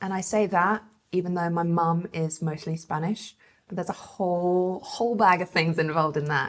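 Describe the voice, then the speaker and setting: A woman with an English accent, fairly low pitch and fairly even intonation. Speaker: podcast co-host, journalist. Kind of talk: casual chat.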